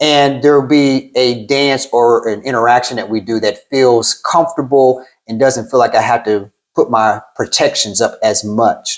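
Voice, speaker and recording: Speaking at a medium pitch, a man keeps his intonation fairly even. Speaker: therapist. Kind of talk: interview. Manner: slow and deliberate.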